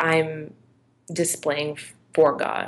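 In an American accent, a woman with a very deep, low pitch speaks at a very slow pace in a monotone, flat intonation. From Georgia, US. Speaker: interviewee. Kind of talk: interview. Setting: video call.

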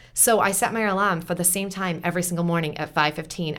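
A woman talks at a very fast pace. Her voice is fairly low, with fairly even intonation. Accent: American. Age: 40s. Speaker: entrepreneur and teacher. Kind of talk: casual chat. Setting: studio.

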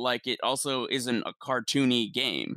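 Recorded very cleanly against a silent background, a man's voice is medium in pitch, with a bright, sharp tone and a dry, close sound with no echo. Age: 20s. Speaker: gaming podcast co-host. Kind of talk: casual chat.

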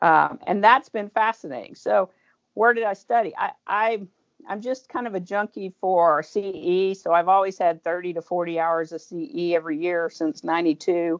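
A woman with an American accent speaks in an ordinary speaking voice at a medium pitch, with ordinary pitch variation. The sound is dry and close with no echo, over a quiet background. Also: fairly slow pace. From Oklahoma, Tulsa. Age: 50s. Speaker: pharmacist. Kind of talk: interview.

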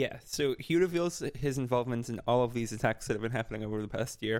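A man races along at a very fast pace, his medium pitch carrying ordinary variation. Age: 20s. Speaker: podcast co-host. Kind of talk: casual chat.

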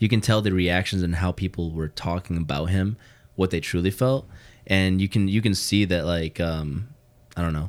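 The speaker has a Chicago accent. The recording is very clean with a silent background. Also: man, very deep, low pitch for a man, ordinary pitch variation, moderate pace. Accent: Chicago-area American. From US Midwest, Hammond Indiana (Chicagoland). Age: 20s. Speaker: co-worker of host, video producer. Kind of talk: casual chat.

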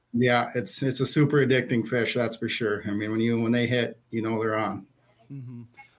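A man with an Upper Midwest accent speaks at a moderate pace in a medium pitch, his intonation flat and monotone. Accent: Upper Midwest (Minnesota). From northern Minnesota. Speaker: fishing store manager. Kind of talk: casual interview. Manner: relaxed, frequent fillers.

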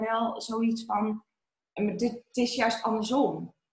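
A somewhat breathy, very slow delivery in a monotone, flat intonation. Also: woman. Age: 20s. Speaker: mother sharing birth story. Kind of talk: interview testimony. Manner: hesitant, many fillers.

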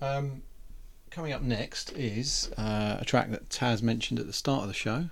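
A man uses a plain, everyday voice at medium pitch with ordinary pitch variation. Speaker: radio host. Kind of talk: radio DJ patter, casual chat between tracks. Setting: studio. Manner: chatty, rambling, easygoing banter with co-host.

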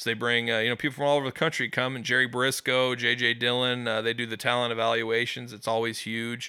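Speaking at a very fast pace with hardly any pauses, a man with a Midwestern American accent keeps a medium pitch and monotone, flat intonation. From US Midwest, West Des Moines, Iowa. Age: 30s. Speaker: pizza reviewer. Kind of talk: casual chat.

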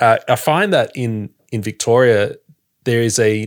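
A man with an Australian accent speaks at a very slow pace. The recording is very clean, the background silent. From Sydney, Australia. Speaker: podcaster. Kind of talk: casual chat.

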